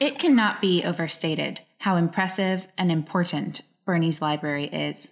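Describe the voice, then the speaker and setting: On a very clean recording with a silent background, a woman with a normal speaking voice talks at a moderate pace in a fairly low pitch with lively intonation. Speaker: podcast host. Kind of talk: interview.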